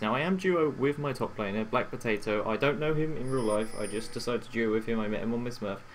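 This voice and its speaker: A quiet man with a British accent amid noticeable background noise. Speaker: gaming coach. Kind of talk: gameplay commentary. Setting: home recording late at night.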